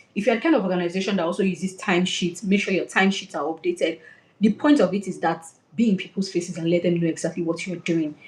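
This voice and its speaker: At a very fast pace, a woman talks in a somewhat breathy, medium-pitched voice with ordinary pitch variation. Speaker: career coach. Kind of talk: webinar talk.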